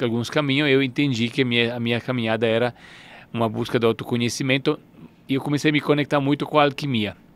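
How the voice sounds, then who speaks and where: In an Italian accent, a man talks with monotone, flat intonation. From northern Italy, Turin. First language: Italian (speaking Portuguese). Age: 40s. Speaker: alchemy teacher. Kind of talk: interview. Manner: halting.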